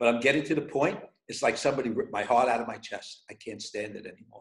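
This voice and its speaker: Lively intonation marks a man speaking in a New York accent. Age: 60s. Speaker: pizzeria owner. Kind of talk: casual interview. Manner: repeats words, stammering starts.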